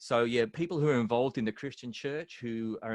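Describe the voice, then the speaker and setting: At a very fast pace, a man with an American accent speaks at a medium pitch in a dry, close sound with no echo and a quiet background. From Australia (Melbourne). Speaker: speaker and worship music mentor. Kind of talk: podcast interview.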